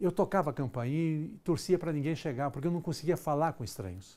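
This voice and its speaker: This is a plain, everyday voice with lively intonation. The recording is very clean, with a silent background. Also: man. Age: 60s. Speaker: executive trainer. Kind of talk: lecture.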